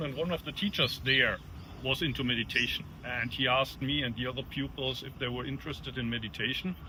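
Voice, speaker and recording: A man speaks at a very fast pace in a German accent. His pitch is medium, with ordinary variation. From Germany. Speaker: Zen monk and teacher. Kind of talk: interview answer. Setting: outdoors near an airport. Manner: direct, no-nonsense.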